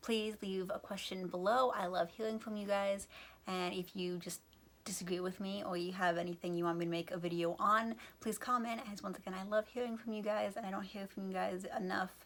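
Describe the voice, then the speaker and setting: A woman speaks at a fairly quick pace with an American accent. Her pitch is medium and her intonation fairly even. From United States. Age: young. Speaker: YouTuber explaining topics. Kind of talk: casual explainer video. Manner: fast; casual with fillers.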